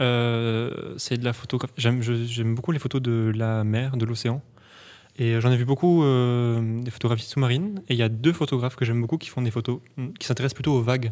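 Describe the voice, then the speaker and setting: With a plain, everyday voice, a man keeps his pitch mid-range and fairly level, moving along at a moderate speed. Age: 20s. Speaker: podcast host. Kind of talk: casual interview chat. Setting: studio.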